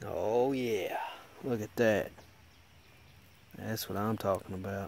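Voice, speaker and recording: The sound is dry, with no echo. A man talks at a fairly slow pace. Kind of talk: casual vlog commentary. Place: open country. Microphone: phone near.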